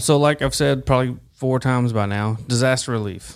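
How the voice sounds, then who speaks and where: The speaker is a man with a Southern US accent. He keeps to a moderate pace. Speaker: podcast host. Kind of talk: interview. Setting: studio.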